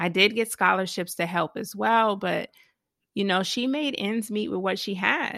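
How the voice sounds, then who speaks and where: A woman at a medium pitch with an American accent, bright, sharp tone and vocal fry, at a fairly slow pace over a quiet background. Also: ordinary pitch variation. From US South, Georgia (Savannah). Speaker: money coach and property investor. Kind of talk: interview.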